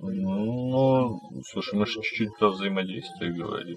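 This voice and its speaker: A man's pitch varies in an ordinary way while noticeable background noise plays behind him. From Kazakhstan. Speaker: podcast host. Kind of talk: scripted outro; casual chat.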